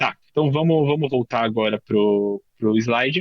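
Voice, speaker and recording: Here a man is talking, with ordinary pitch variation. The sound is dry and close, with no echo. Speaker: workshop instructor, tech professional. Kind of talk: workshop tutorial. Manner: fast; casual, filler-heavy.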